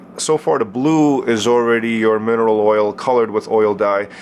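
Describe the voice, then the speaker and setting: Noticeable background noise sits behind a man talking in a medium pitch. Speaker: liquid light show artist. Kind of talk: tutorial. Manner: casual, filler-heavy; fast.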